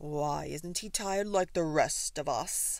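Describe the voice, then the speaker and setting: In a put-on character voice, a woman growls at a fairly slow pace and fairly low pitch, on a very clean recording with a silent background. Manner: growling.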